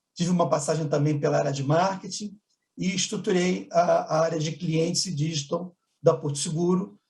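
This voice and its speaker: A man with a Carioca accent speaks in a dark, mellow tone at a fairly quick pace, his intonation fairly even. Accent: charming carioca. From Rio de Janeiro, Brazil. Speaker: business executive. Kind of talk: conference panel talk.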